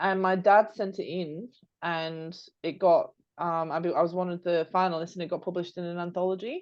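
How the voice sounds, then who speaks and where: A woman with a British accent, fairly low in pitch, at a fairly quick pace, in a monotone, flat intonation, against a quiet background. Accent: British accent, noticeable. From United Kingdom. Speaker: podcast co-host, marketing strategist and coach. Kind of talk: casual chat. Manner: hesitant, many fillers and restarts.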